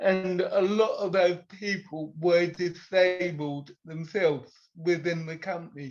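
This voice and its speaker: Speaking at a very slow pace with hardly any pauses, a man with a British accent holds a high pitch and fairly even intonation. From UK. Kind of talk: casual interview chat.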